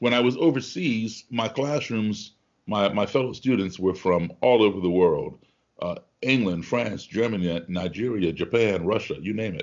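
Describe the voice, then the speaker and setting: Talking at a moderate pace with an American accent, a man has an ordinary speaking voice, a fairly low pitch and ordinary pitch variation. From grew up abroad, US diplomatic family. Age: 60s. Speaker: musician and activist. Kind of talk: podcast interview.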